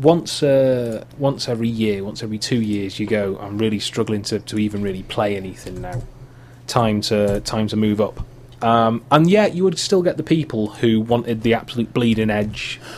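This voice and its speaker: Speaking in a North Welsh accent, a man uses a medium pitch with ordinary pitch variation at a moderate pace. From Wales, Wrexham. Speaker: podcast host. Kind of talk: casual chat.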